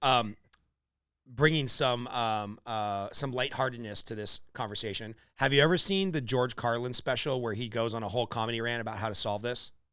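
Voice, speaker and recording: Bright and sharp in tone, a man's medium-pitched voice moves at a moderate pace with ordinary pitch variation, recorded very cleanly against silence. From Los Angeles, California. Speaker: podcast host. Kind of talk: podcast interview. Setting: call.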